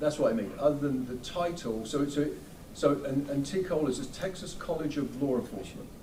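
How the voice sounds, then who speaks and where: A man's fairly high voice comes through audible room echo and noticeable background noise. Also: ordinary pitch variation, fairly quick pace. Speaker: defense attorney. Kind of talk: courtroom cross-examination. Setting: courtroom. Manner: fast; halting, repetitive.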